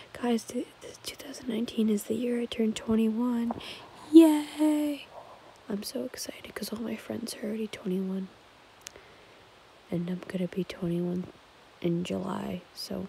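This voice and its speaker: A soft-spoken woman whispers at a moderate pace, leaving long, frequent pauses, and her loudness swings widely. Light background noise is present, and the sound is dry with no echo. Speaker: ASMR vlogger. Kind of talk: casual vlog chat. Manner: soft late-night ASMR whisper. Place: home room. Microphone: phone near.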